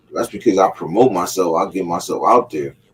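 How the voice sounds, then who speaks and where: A man speaks fairly quickly with ordinary pitch variation as noticeable noise sounds behind him. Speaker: podcast host, football talk. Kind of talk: casual chat. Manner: loud.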